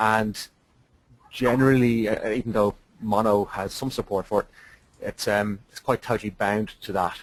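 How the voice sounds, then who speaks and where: A man's fairly low voice at a moderate pace. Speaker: software developer. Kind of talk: webinar presentation. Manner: hesitant, many fillers.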